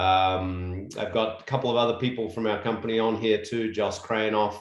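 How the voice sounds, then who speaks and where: Audible room echo surrounds a man speaking with an Australian accent at a moderate pace. His voice sits at medium pitch with fairly even intonation. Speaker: construction company executive. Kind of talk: presentation.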